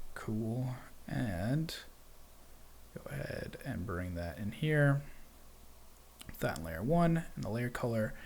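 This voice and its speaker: With audible room echo, a man of medium pitch speaks at a very slow pace with long, frequent pauses and very wide pitch swings. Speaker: 3D software tutorial livestream host. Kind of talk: live software tutorial. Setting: live stream with chat.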